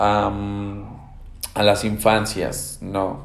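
There is audible room echo around a man speaking in a fairly low voice. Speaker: podcast host and teacher. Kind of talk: solo podcast monologue. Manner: hesitant, many fillers and repetitions.

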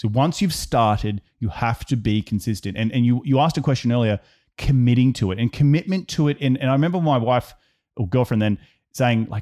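Recorded very cleanly with a silent background and a dry, close sound with no echo, a man with an Australian accent speaks in a dark, mellow tone with lively intonation. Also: medium pitch for a man, fairly quick pace. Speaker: real estate investor. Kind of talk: casual interview chat.

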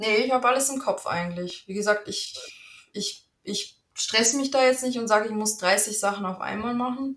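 This woman's voice sits fairly high. She speaks with a slight Bavarian accent. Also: ordinary pitch variation, moderate pace. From Germany, North Rhine-Westphalia (Bielefeld-Gütersloh area). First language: Italian (speaking German). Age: 30s. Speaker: virtual assistant. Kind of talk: casual interview.

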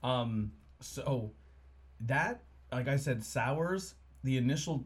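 The man's voice is somewhat breathy. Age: 30s. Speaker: podcast host. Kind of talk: casual chat. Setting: studio. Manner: casual, rambling.

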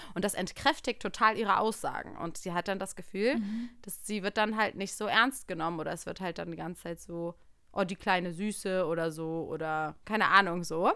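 At a moderate pace and a medium pitch, a woman talks with hardly any pauses, ordinary pitch variation and a bright, sharp tone. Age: 30s. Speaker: podcast co-host. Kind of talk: casual chat.

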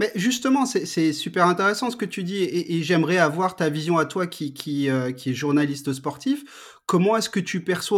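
A man with a high pitch, captured on a very clean recording against a silent background. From France, Strasbourg (Alsace). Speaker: podcast host. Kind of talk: casual interview. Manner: hesitant, many repetitions.

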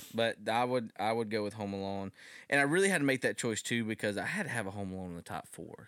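Very fast speech from a man at a medium pitch with ordinary pitch variation, on a very clean recording with a silent background. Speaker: podcast co-host. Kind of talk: casual chat; mock boxing ring announcer intro. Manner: jokey, laughs often.

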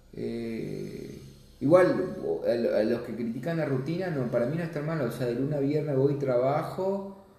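A man talks at a fairly slow pace with a fairly high pitch and ordinary pitch variation. The room echoes audibly, and there is noticeable background noise. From Misiones, Argentina. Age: 30s. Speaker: accountant. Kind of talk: interview. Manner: halting.

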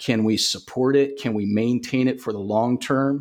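In a very clean recording with a silent background, a man with a Southern US accent speaks fairly slowly at a medium pitch with fairly even intonation. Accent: Southern US (Georgia). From US South, Augusta, Georgia. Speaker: cybersecurity company founder. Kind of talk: podcast interview.

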